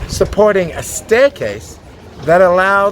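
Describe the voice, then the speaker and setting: Noticeable background noise accompanies speech delivered at a very slow pace. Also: man. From Australia. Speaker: tour guide. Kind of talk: guided tour narration. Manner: enthusiastic.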